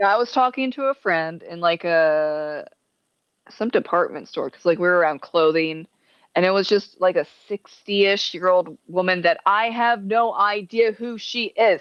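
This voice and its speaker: A woman with a plain, everyday voice speaks at a moderate pace, her pitch medium with ordinary variation. Her loudness swings widely. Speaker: podcast co-host. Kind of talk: casual chat.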